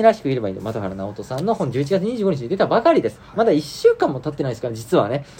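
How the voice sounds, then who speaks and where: Very wide pitch swings run through this man's animated tone. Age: 30s. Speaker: podcast host. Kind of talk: casual chat.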